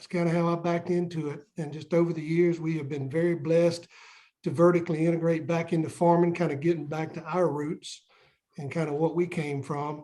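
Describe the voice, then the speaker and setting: Speaking fairly quickly with a Southern US accent, a man with a high pitch and a dark, mellow tone keeps a monotone, flat delivery while his loudness swings widely. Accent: Southern US (Georgia). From US South, Southeast Georgia. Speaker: onion farmer. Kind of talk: casual interview.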